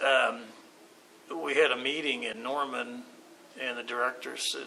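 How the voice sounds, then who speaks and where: The speaker has an American accent and a monotone, flat intonation at a fairly slow pace. Noticeable background noise runs underneath. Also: man. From Oklahoma City. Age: 60s. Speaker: artist and art teacher. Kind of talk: interview. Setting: art walk event. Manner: halting, many fillers.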